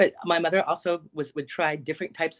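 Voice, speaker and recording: A woman's normal speaking voice with a General American accent, fairly low in pitch, at a fairly quick pace with fairly even intonation, in a dry, close sound with no echo. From Alaska. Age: 50s. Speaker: psychic medium. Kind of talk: interview testimony.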